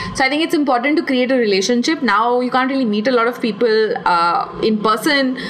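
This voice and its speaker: Against noticeable background noise, a woman speaks at a very fast pace and high pitch with lively intonation, very even loudness and hardly any pauses. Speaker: podcast host and artist. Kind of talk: solo Q&A podcast. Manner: animated.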